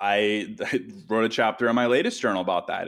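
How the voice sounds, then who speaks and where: At a moderate pace, a man speaks with vocal fry on a very clean recording with a silent background. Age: 30s. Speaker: writer and podcaster. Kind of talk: podcast interview.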